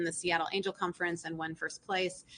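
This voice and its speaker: Very fast speech with an American accent. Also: woman. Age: 40s. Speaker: entrepreneur. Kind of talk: talk to a live audience.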